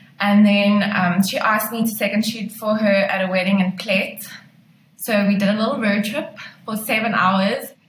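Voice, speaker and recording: The speech moves at a moderate pace with fairly even intonation, and audible room echo can be heard. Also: woman, medium pitch for a woman. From South Africa, Pretoria. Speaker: wedding photographer. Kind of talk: interview chat.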